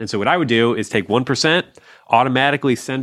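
Fairly quick, ordinary pitch variation, medium pitch: a man with an unremarkable speaking voice. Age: 40s. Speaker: personal finance author and blogger. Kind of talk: casual interview chat.

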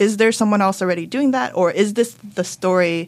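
With a Californian accent, a woman speaks at a fairly quick pace with fairly even intonation on a very clean recording with a silent background. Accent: Californian American. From Los Angeles, San Gabriel Valley. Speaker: author. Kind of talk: casual interview. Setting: studio.

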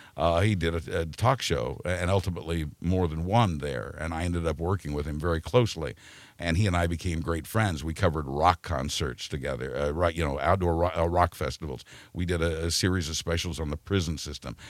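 A man with an American accent speaks at a fairly quick pace in a very deep, low pitch with vocal fry, on a very clean recording with a silent background. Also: ordinary pitch variation. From Kansas, Wichita. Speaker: retired radio news journalist. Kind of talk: casual interview. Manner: halting.

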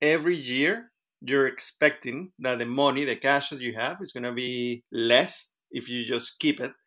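On a very clean recording with a silent background, a man with a medium pitch and a bright, sharp tone speaks at a moderate pace, with ordinary pitch variation and big swings in loudness. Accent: Spanish. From Venezuela. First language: Spanish. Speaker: interviewee sharing personal experience. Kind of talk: casual interview.

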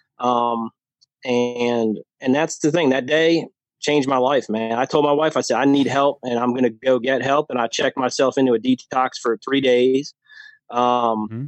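In an American accent, an unremarkable speaking voice moves at a moderate pace with fairly even intonation. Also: man, medium pitch for a man. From New Jersey. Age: 40s. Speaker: podcast guest sharing weight-loss and sobriety story. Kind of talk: casual interview chat.

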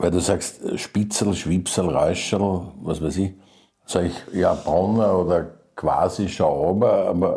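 A man speaks very slowly in a very deep, low voice with a dark, mellow tone. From Vienna, Austria. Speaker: writer and lyricist. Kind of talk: interview. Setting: private kitchen.

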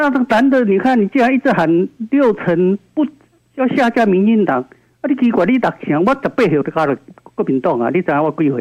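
High-pitched and speaking at a fairly quick pace, a man swings very widely in pitch. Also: dry, close sound with no echo. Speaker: radio call-in listener. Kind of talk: casual chat. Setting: phone call. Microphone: echo from own radio on the line.

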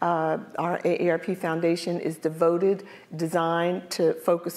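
A woman with an American accent speaks at a fairly slow pace, her fairly low pitch held in a monotone, flat intonation. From US, North Philadelphia. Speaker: corporate diversity executive. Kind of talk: panel interview on stage. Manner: halting, repeats words.

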